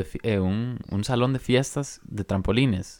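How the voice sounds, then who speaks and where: This is a man with medium pitch and an unremarkable speaking voice, using lively intonation. The recording is very clean, with a silent background. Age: 20s. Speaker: podcast co-host. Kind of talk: casual chat.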